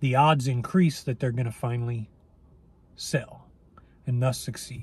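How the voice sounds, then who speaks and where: A man's somewhat breathy voice in a dry sound with no echo. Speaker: weight loss coach. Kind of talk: casual vlog chat. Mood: reflective, encouraging. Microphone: phone near.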